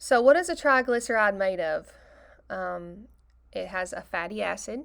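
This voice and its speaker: In a very clean recording with a silent background, a woman speaks in a plain, everyday voice at medium pitch and a moderate pace. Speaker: biology teacher. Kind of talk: recorded lecture.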